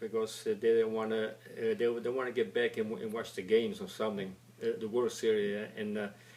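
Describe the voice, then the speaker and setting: A man with an Italian accent and ordinary pitch variation, over noticeable background noise. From Italy. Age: 70s. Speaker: retired factory worker. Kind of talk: oral history interview. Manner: halting, many repetitions and stammers.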